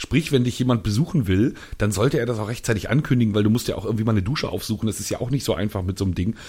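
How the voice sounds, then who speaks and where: Somewhat breathy and dark, mellow in tone, this voice moves at a very fast pace with ordinary pitch variation. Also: man, medium pitch for a man. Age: young. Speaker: podcast co-host. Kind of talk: casual chat.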